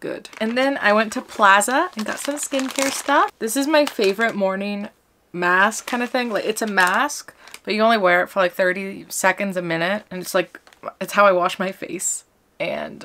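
Light background noise accompanies a woman whose pitch varies in an ordinary way. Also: moderate pace. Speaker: vlogger. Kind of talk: casual vlog chat. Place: home room. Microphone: phone near.

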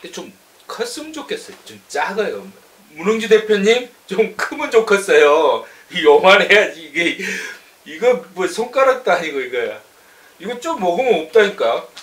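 A man's high-pitched voice with very wide pitch swings, big swings in loudness and a moderate pace. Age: 40s. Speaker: online news channel host. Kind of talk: product review. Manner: animated. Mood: playful, joking. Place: office. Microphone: camera far.

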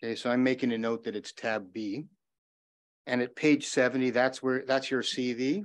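Keeping to a moderate pace, a man talks at a medium pitch with fairly even intonation. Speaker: lawyer cross-examining a witness. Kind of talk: courtroom cross-examination. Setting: courtroom. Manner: loud.

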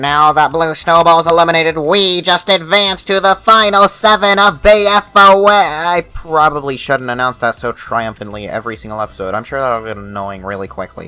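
A man talks at a moderate pace with hardly any pauses. His fairly high voice swings very widely in pitch. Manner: exasperated, sarcastic.

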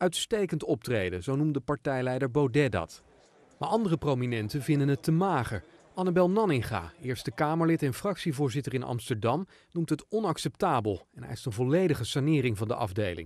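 Recorded against a quiet background with a dry, close sound and no echo, a man speaks at a fairly high pitch with very wide pitch swings. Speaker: news reporter. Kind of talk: scripted narration.

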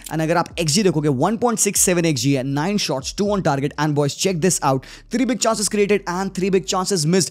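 This man talks at a fairly quick pace in a high voice, with ordinary pitch variation. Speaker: football YouTuber. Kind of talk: match reaction and analysis.

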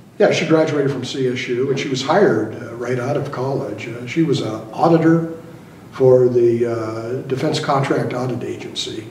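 Slightly mellow male voice with audible room echo. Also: medium pitch for a man, ordinary pitch variation, moderate pace.

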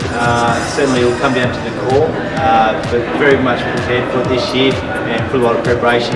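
A man's voice with loud music in the background. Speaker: real estate auctioneer. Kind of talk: interview answer. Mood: confident, relaxed. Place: hall.

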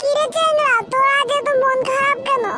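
This cartoonish character voice is squeaky and sits at an extremely high pitch. It moves at a moderate pace with monotone, flat intonation. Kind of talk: comic cartoon banter. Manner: teasing, playful.

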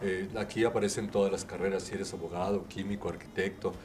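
A man talks very fast in a fairly low pitch while noticeable background noise carries on. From Mexico, Guanajuato. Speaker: artisan fair exhibitor, vocational advisor. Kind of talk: interview. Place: studio. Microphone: handheld.

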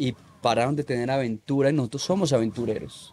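The tone is dark and mellow. Light background noise sits behind it. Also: man. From Colombia, Manizales; Colombia. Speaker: freestyle motocross rider; podcast guest. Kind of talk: casual interview chat; interview answer. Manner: halting, repetitive. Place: garden. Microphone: studio mic.

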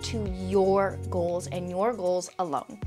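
A woman is talking. Clear music plays behind her. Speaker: fitness content creator. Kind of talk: casual vlog chat. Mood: earnest, encouraging. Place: home room. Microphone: lapel.

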